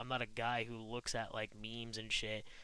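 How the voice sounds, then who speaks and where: Bright and sharp in tone, a man's voice moves at a moderate pace. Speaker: streamer. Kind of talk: personal monologue. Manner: rambling, halting with fillers.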